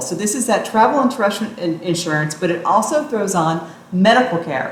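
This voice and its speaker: Woman's medium-pitched voice in an American accent with very wide pitch swings, audible room echo and noticeable background noise. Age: 50s. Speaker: travel vlogger. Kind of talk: explainer tutorial.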